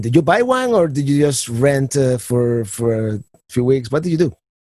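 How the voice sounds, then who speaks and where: A man with a Spanish accent talks in a dark, mellow tone. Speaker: podcast host. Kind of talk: podcast interview. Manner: halting, many repetitions.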